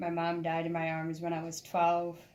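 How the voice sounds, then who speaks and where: There is audible room echo around the voice. A woman speaks at a fairly low pitch. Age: 30s. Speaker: student and former homeless person. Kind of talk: interview testimony.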